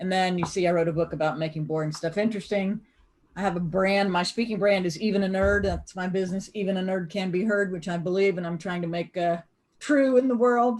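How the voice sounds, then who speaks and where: This woman speaks with an American accent in an animated tone, at a fairly quick pace and medium pitch, with ordinary pitch variation. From US South (Greenville, South Carolina). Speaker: accountant and business speaker teaching a class. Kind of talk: online lecture.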